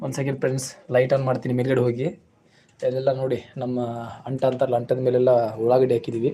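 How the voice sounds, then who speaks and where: Flat, monotone intonation in a man's medium-pitched voice. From north Karnataka, Bailhongal taluk village. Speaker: farmer and YouTube live streamer. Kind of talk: casual livestream chat and house tour. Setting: village farmhouse during livestream.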